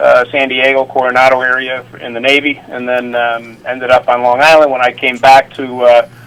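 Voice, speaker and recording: At a moderate pace with hardly any pauses, the voice runs in a monotone, flat intonation against noticeable background noise. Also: man, medium pitch for a man. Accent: American. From upstate New York (Utica). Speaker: retired Secret Service officer and Navy veteran. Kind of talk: interview storytelling. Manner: halting, many fillers.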